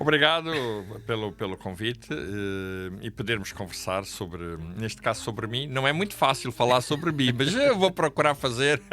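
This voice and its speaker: A man's bright, sharp voice at medium pitch, with lively intonation and a moderate pace. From Angola. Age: 60s. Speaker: pastor. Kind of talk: interview storytelling. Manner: halting.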